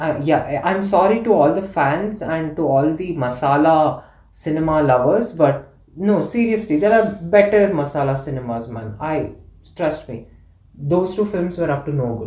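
Someone with a Kannada accent speaks at a moderate pace. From India, Karnataka. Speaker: podcast guest. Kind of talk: casual chat.

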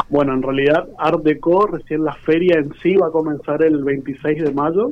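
A man speaks at a very slow pace. His voice sits fairly high, with fairly even intonation. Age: 30s. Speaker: visual artist. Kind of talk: radio interview. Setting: phone call.

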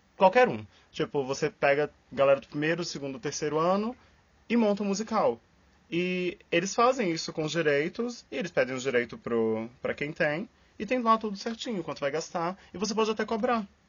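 This man's voice is high-pitched, with very wide pitch swings. He keeps a moderate pace. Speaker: podcast co-host, scientist and musical theatre enthusiast. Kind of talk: casual chat.

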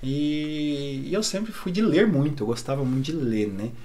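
With audible room echo around him, a man speaks at a fairly slow pace in a fairly high pitch. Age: 30s. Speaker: psychologist. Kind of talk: casual chat.

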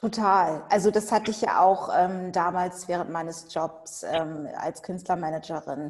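In an ordinary speaking voice of medium pitch, a woman talks at a fairly slow pace with fairly even intonation and hardly any pauses. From Germany, Hannover. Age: 40s. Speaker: lawyer. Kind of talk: interview.

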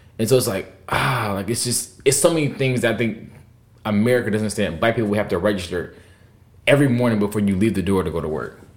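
Very fast pace from a man with a fairly low pitch and ordinary pitch variation, in audible room echo. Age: 20s. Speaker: podcast host. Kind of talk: casual chat.

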